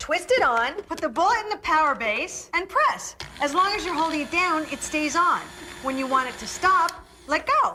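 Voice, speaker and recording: In a raised, projected voice of extremely high pitch, a woman talks at a moderate pace with very wide pitch swings as noticeable background noise carries on. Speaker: infomercial host. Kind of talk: TV infomercial pitch. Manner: cheerful, upbeat.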